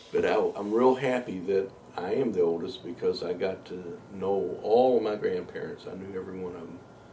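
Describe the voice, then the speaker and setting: The speaker has an American accent and a moderate pace. There is noticeable background noise and audible room echo. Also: man. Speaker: interviewee recalling his life. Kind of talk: life story interview.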